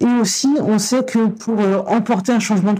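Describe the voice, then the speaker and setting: There is noticeable background noise as a woman talks at a moderate pace. Her pitch varies in an ordinary way. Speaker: cultural project director. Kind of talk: interview. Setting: on location. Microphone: distorted lavalier mic.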